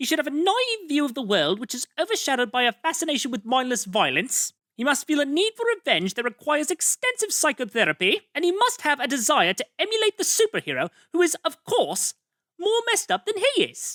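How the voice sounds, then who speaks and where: A cartoonish character voice, high-pitched with very wide pitch swings, in a very clean recording over a silent background. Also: fairly quick pace. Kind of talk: cartoon voice acting. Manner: bubbly, silly, rambling.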